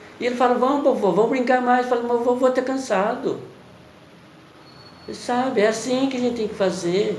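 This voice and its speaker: Amid noticeable background noise and audible room echo, a man with an extremely high pitch speaks with fairly even intonation and long, frequent pauses. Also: moderate pace. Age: 60s. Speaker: preacher. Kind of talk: sermon. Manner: halting.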